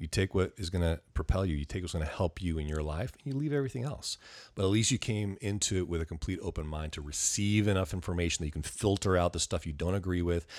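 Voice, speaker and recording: A man with an American accent and a very deep, low pitch, at a very fast pace with hardly any pauses, on a very clean recording with a silent background. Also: ordinary pitch variation. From US West Coast, Ventura County, California. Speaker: real estate investor and public speaker. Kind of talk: interview conversation. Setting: at guest's home.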